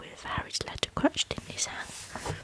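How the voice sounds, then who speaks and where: Whispered speech from a woman, moderately paced, with noticeable background noise behind her. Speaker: ASMR creator. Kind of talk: audiobook-style reading of a novel for sleep. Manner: whispered, soft.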